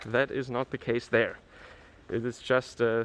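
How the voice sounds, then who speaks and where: Here a man with a Franconian accent talks at a moderate pace in a medium pitch. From Germany, Franconia. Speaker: travel vlogger. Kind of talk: walking tour vlog. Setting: outdoors in a snowy town. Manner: hesitant, with fillers.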